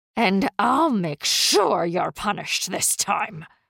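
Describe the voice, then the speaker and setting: In a put-on character voice, a female-sounding speaker goes raspy and hissing at a medium pitch and a fairly slow pace. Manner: menacing, hissing.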